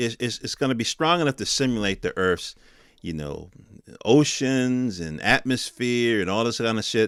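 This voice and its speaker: With lively intonation and a medium pitch, a man talks at a moderate pace in a very clean, dry, close recording with no echo and a silent background. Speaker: tech news podcaster. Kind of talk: casual commentary. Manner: loud.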